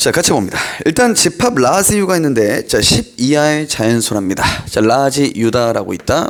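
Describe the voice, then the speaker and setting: A man talks at a moderate pace in a fairly high pitch, with very wide pitch swings. His loudness stays very even, and noticeable background noise is present. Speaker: math tutor. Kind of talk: lecture.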